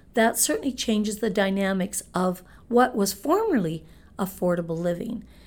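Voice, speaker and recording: A woman with a normal speaking voice talks fairly slowly with ordinary pitch variation. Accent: Canadian. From Manitoba, Canada (Winnipeg). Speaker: real estate broker. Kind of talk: interview.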